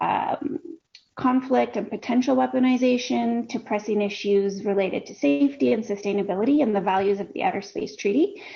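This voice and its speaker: With a Canadian accent, a woman talks at a fairly quick pace in a fairly high, somewhat breathy voice. Her pitch swings very widely. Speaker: peace researcher. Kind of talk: interview. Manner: fast.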